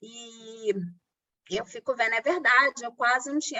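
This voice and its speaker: A woman is speaking here. Her pitch is high for a woman. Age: 40s. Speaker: Brazilian expatriate interviewee. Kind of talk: interview.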